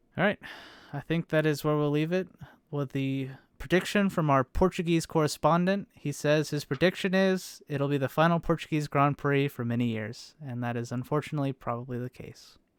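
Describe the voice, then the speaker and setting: In a plain, everyday voice, a man with an American accent talks at a fairly quick pace and fairly high pitch, ordinary pitch variation, on a very clean recording with a silent background and a dry, close sound with no echo. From United States. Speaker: motorsport podcast host. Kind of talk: casual chat.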